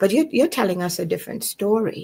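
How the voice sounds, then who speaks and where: Her tone is dark and mellow. Nothing intrudes on the very clean recording, where the background is silent. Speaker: podcast host. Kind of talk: interview conversation.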